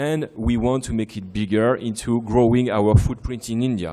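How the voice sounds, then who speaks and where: A man's dark, mellow voice at medium pitch, moving at a fairly quick pace. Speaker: defence company sales executive. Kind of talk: conference speech. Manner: fast.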